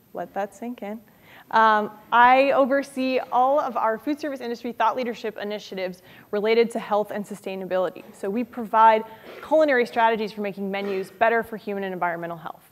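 Fairly high pitch from a woman, with ordinary pitch variation. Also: big swings in loudness. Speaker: author; guest. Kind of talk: lecture. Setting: stage with audience. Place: classroom.

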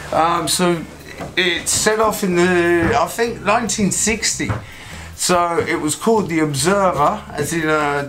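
A man's high-pitched voice over light background noise. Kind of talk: interview answer. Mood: jokey, relaxed. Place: boat. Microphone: camera far.

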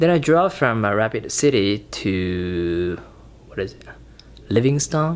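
At a very slow pace, a man talks at a fairly low pitch with very wide pitch swings. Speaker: solo road trip vlogger. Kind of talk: casual vlog chat. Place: home room. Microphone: phone near.

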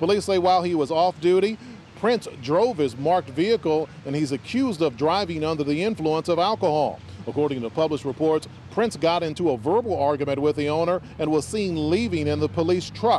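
Light background noise accompanies a man talking at a fairly quick pace. The sound is dry with no echo. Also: lively intonation. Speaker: TV news reporter. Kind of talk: news report.

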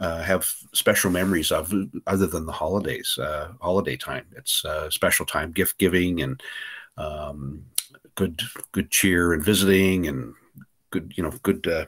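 A man talks at a moderate pace with a very deep, low pitch and ordinary pitch variation. The background is quiet. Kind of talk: casual interview answer. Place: home room. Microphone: webcam.

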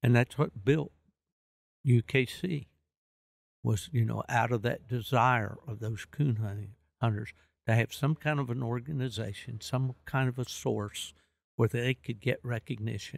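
Long, frequent pauses break up a man's fairly slow, somewhat breathy speech, heard in a dry, close sound with no echo. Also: medium pitch for a man. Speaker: veteran coonhound hunter and former kennel club official. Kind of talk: casual interview.

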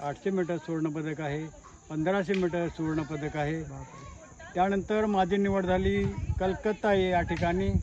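With light background noise and a dry sound with no echo, a high-pitched man speaks with fairly even intonation. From Kolhapur district, Maharashtra; Maharashtra. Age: 70s. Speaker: retired sports teacher and masters athlete; retired sports teacher. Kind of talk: interview. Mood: proud, confident. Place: open country.

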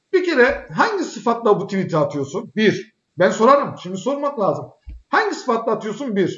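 A man at a moderate pace, animated in tone, with very wide pitch swings. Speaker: political commentary show host. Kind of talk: political talk show. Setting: live broadcast.

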